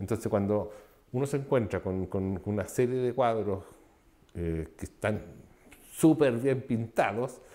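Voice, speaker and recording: The man's tone is dark and mellow. He takes a fairly slow pace. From Chile, Concepción. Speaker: artist. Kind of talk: interview. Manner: halting, with many repetitions and fillers.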